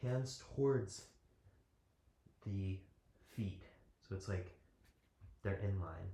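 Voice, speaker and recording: Somewhat breathy, a man's very deep, low voice carries a dark, mellow tone. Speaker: yoga teacher. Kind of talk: guided yoga class.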